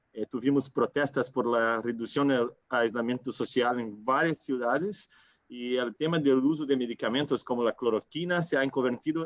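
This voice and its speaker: A man speaks with a Brazilian accent at a medium pitch and a moderate pace, with hardly any pauses. His intonation is fairly even, and the sound is dry and close with no echo. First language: Portuguese (speaking Spanish). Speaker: city councillor, panelist. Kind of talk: panel discussion, online event. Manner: halting, many filler sounds.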